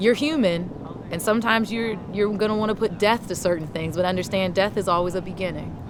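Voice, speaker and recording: Noticeable background noise runs through the clip. A woman speaks with ordinary pitch variation. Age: 30s. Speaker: interview guest. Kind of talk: casual interview. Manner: loud.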